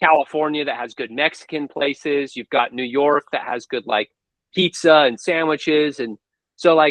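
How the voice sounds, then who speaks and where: With an American accent, a man talks at a moderate pace with fairly even intonation in a plain, everyday voice. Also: fairly high pitch for a man. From United States. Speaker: book reviewer and interview host. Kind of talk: casual interview.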